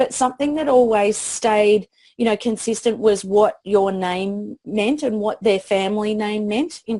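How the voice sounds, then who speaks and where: With an Australian accent, a woman speaks at a fairly high pitch in a dark, mellow tone with ordinary pitch variation. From Australia, country town. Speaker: PR expert. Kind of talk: interview. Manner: halting.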